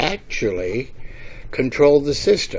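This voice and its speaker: There is noticeable background noise as a man talks at a fairly slow pace. He has an American accent. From US Midwest, Kansas City, Missouri. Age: 70s. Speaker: retiree giving a testimonial. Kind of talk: testimony. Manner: halting, many fillers.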